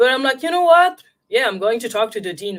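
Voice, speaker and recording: A woman speaks at a fairly quick pace with a French accent. The recording is very clean, with a silent background. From France. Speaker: intuitive guide and film scholar. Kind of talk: interview.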